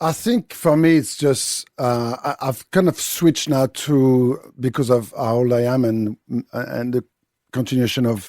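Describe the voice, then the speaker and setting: A man with a strong French accent speaks at a fairly slow pace, his medium-pitched voice dark and mellow with ordinary pitch variation. The sound is dry and close, with no echo. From France. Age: 50s. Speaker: chef and TV cooking show judge. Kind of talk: radio interview. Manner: halting, repeats words.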